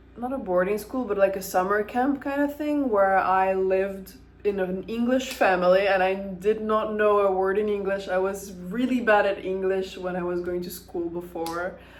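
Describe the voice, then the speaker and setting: A woman with an American accent, medium pitch and ordinary pitch variation, hardly any pauses, and audible room echo. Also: moderate pace. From Ukraine, Kyiv. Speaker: vlogger. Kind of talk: casual monologue. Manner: casual, with hesitations.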